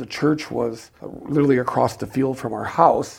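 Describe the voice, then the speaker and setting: This man has a medium pitch. Vocal fry runs through his speech. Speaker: liturgical composer. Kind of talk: interview. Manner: halting.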